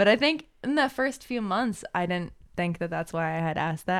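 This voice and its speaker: A woman's fairly low voice in an American accent, a normal speaking voice at a fairly quick pace, on a very clean recording with a silent background. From small country town, US. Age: 20s. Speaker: stay-at-home mother. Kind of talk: interview.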